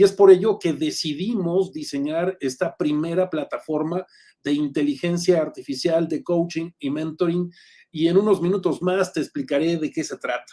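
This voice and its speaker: At a moderate pace, a man with a high pitch speaks in a dark, mellow tone with fairly even intonation. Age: 60s. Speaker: executive coach and lecturer. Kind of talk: online lecture.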